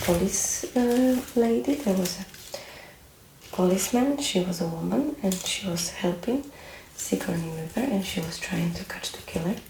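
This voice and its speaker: The speaker is soft-spoken, with lively intonation at a fairly slow pace. Noticeable background noise can be heard. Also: woman. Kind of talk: soft-spoken ASMR talk to camera; casual movie chat, personal opinions about a film.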